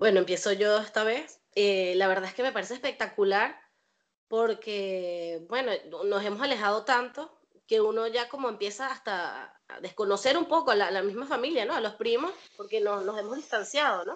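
Against a quiet background, a woman with a plain, everyday voice speaks at a moderate pace in a fairly high pitch with ordinary pitch variation. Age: 20s. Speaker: cleaner and caregiver. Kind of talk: casual family chat.

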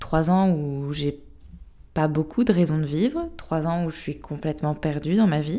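A woman talks at a moderate pace. Her pitch is very deep and low, her tone dark and mellow. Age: 20s. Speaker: sophrologist and podcast host sharing her own story. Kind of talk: personal testimony.

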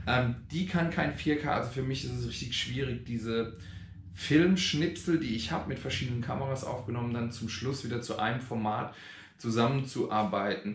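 Amid audible room echo, a man with a somewhat breathy, medium-pitched voice speaks at a moderate pace with ordinary pitch variation. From Germany, Rhein-Neckar area (Schwetzingen). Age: 40s. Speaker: vlogger. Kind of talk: casual vlog. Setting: outdoors. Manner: hesitant, many filler sounds.

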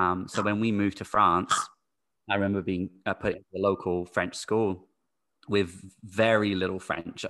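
Over a quiet background, a man with an American accent talks at a moderate pace in a bright, sharp tone, his fairly low pitch held to a flat monotone. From UK-born, raised internationally. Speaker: teacher. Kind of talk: casual interview. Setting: remote call.

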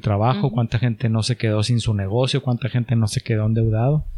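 This man has a medium pitch, a dark, mellow tone and a somewhat breathy voice. He talks at a fairly quick pace with fairly even intonation, in a dry, close sound with no echo. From Mexico, Chihuahua. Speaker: entrepreneur. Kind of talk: casual chat.

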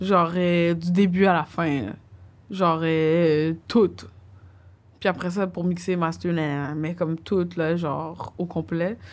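On a very clean recording with a silent background, the speech goes at a very slow pace with long, frequent pauses and fairly even intonation. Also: woman, fairly low pitch for a woman. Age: 30s. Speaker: DJ and music producer. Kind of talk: casual chat.

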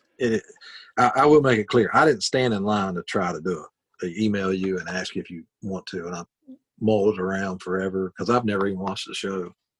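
In an Appalachian accent, a man with a very deep, low pitch speaks with a dry, close sound and no echo. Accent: Appalachian Southern US. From West Virginia. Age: 40s. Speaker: country musician. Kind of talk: casual interview chat.

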